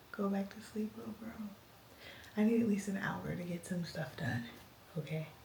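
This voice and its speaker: Amid noticeable background noise and audible room echo, a woman speaks at a medium pitch and moderate pace with lively intonation and long, frequent pauses. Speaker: mom vlogger. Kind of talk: casual vlog talk to camera. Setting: at home. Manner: whispering.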